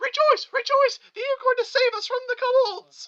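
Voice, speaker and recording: A squeaky, put-on character voice at an extremely high pitch and moderate pace. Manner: exuberant, rejoicing.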